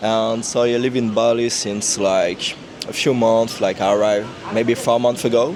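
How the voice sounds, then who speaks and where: Over noticeable background noise, a man with a strong French accent speaks at a moderate pace in a monotone, flat intonation, his loudness very even. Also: medium pitch for a man. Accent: big French. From France. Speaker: content creator. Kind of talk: casual interview. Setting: cafe.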